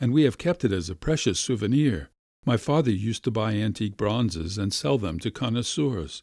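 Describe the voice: Lively intonation marks this plain reading aloud against a quiet background.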